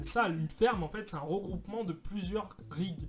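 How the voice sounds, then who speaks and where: A man speaks with lively intonation while music plays in the background. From France. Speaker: crypto mining youtuber. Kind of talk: tutorial. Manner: halting, many hesitations.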